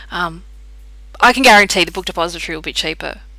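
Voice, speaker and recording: A quiet woman with an Australian accent. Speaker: tarot card reader. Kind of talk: casual chat. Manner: animated.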